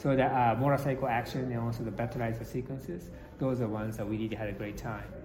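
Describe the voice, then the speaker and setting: Talking at a very fast clip, a man with a medium pitch keeps his intonation fairly even, and audible room echo surrounds his voice. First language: Japanese. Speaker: film director. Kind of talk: interview. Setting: convention. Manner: halting.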